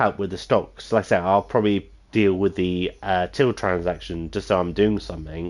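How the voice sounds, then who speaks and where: Against a quiet background, a man with a very deep, low pitch talks with hardly any pauses. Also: fairly even intonation, moderate pace. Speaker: gaming streamer. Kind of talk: gameplay commentary. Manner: calm, plain; halting, many fillers.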